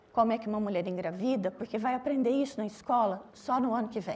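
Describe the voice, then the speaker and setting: Delivered at a moderate pace with ordinary pitch variation, the speech comes in a Minas Gerais accent. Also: woman. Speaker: doctor at a legal abortion service, panelist. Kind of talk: panel talk.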